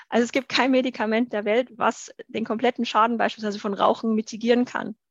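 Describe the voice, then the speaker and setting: In a fairly high pitch, a woman speaks with flat, monotone intonation. The sound is dry and close with no echo, and the background is quiet. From Bavaria, Germany. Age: 30s. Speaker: university lecturer and author. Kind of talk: interview.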